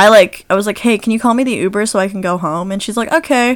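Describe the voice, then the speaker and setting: Very clean recording with a silent background. A woman with an unremarkable speaking voice talks at a medium pitch with ordinary pitch variation. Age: young. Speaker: podcast co-host, university student. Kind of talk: casual chat.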